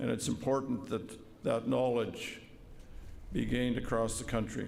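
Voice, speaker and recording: Speaking with a Canadian accent, a man with a medium pitch and vocal fry keeps a moderate pace, ordinary pitch variation and very even loudness, with audible room echo. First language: Woodland Cree. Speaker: vice-regal representative and police veteran. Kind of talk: formal ceremonial speech. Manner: formal.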